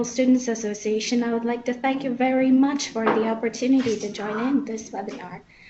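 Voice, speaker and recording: Over noticeable background noise, a woman talks at a moderate pace. Her high voice stays monotone and flat. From Lithuania. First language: Lithuanian. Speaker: medical student representative. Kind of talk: webinar question. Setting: webinar. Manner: halting.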